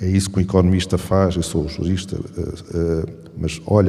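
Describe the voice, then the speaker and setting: A man speaks at a very deep, low pitch with a European Portuguese accent. His intonation stays flat and monotone. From Portugal. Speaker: law professor and competition authority head. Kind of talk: panel talk. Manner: halting, with fillers.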